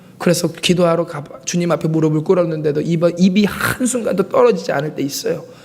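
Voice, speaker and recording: With ordinary pitch variation, a man talks as noticeable background noise carries underneath. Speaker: pastor. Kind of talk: sermon.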